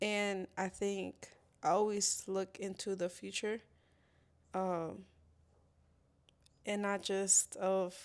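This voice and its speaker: Speaking in a non-native accent at a medium pitch, a woman delivers monotone, flat intonation on a very clean recording with a silent background. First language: not English. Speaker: HVAC technician, former mail carrier. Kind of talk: casual interview chat. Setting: live-streamed podcast studio. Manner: halting, many fillers.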